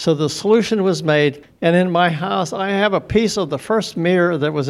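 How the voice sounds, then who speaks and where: Speaking at a moderate pace with a western Pennsylvania accent, the man has a high pitch and ordinary pitch variation. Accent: western Pennsylvania American. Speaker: audience member. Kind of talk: audience question.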